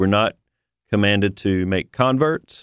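A plain, everyday voice talks at a moderate pace with ordinary pitch variation, recorded very cleanly with a silent background and a dry, close sound with no echo. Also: man. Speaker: ministry staff guest. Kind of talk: radio interview.

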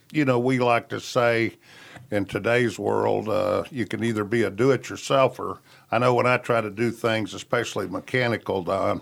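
With vocal fry and fairly even intonation, a man speaks at a medium pitch and a moderate pace. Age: old. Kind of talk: advice on radio.

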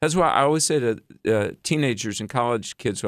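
A man talks at a moderate pace with lively intonation in a plain, everyday voice. The sound is dry and close, with no echo. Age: 50s. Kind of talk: radio interview.

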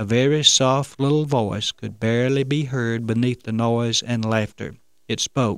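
A passage is read aloud plainly.

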